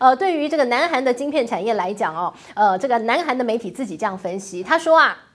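A woman's high, animated voice in a Taiwanese accent at a very fast pace, with very wide pitch swings and hardly any pauses. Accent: Taiwanese Mandarin. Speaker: news commentary host. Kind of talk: solo commentary on international finance.

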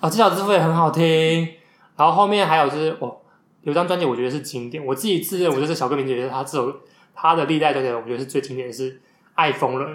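This man talks at a very fast pace. His fairly high pitch shows ordinary pitch variation. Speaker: podcast host, bookstore worker. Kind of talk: book recommendation talk; casual chat. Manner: animated.

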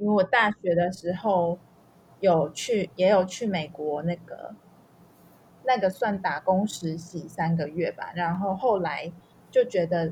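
A woman speaks very slowly at a medium pitch, her voice somewhat breathy. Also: ordinary pitch variation. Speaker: language learner sharing life abroad. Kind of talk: interview.

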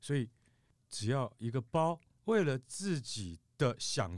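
A man's lively intonation comes across on a very clean recording with a silent background. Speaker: podcast host. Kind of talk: casual chat.

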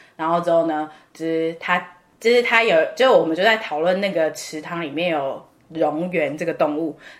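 A woman speaks in an ordinary speaking voice, fairly low in pitch, at a moderate pace with ordinary pitch variation. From Taiwan. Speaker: podcast co-host, student abroad. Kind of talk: casual chat.

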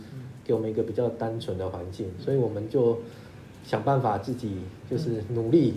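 A man with a medium pitch and a dark, mellow tone speaks somewhat breathily and with fairly even intonation. His pace is fairly quick despite long, frequent pauses, and the room echo is audible. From Taiwan. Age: 50s. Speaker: lawyer. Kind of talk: interview. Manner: halting with repetitions.

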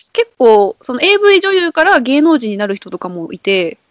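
A woman's high voice with very wide pitch swings, dry and close with no echo. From Kansai, Japan. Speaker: regular podcast guest. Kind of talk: casual chat.

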